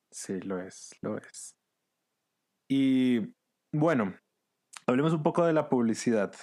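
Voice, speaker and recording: Captured on a very clean recording with a silent background, a man speaks at a very slow pace with long, frequent pauses. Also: medium pitch for a man, lively intonation. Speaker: podcast host. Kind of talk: casual interview chat; scripted comedic monologue. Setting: at home during quarantine.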